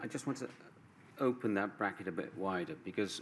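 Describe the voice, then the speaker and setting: Quiet and fairly low, a man speaks with a British accent at a moderate pace with lively intonation. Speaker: barrister. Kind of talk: legal closing submission. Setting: inquiry hearing room. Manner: halting.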